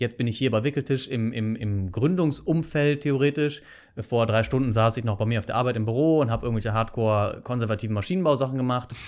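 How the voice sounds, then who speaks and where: This man speaks at a very fast pace and medium pitch, with ordinary pitch variation. The recording is very clean, with a silent background. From Germany, Bonn. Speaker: engineer, founder and podcaster. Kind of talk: casual interview. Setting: coworking space.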